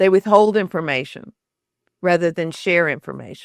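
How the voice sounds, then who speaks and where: A woman with a Southern US accent and lively intonation, at a fairly slow pace, in a dry, close sound with no echo. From US South, Shreveport, Louisiana. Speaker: author and storytelling expert. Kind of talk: interview conversation.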